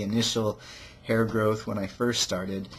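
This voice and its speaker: A somewhat breathy man's voice, fairly low in pitch, at a moderate pace. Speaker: video blogger. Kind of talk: personal vlog. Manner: halting.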